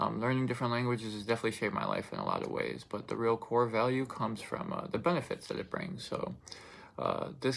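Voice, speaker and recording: This man speaks very fast. He holds a medium pitch that varies in an ordinary way. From Russian-speaking family, then raised in the United States. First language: Russian. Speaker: student speaker. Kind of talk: informative speech. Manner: hesitant, many fillers.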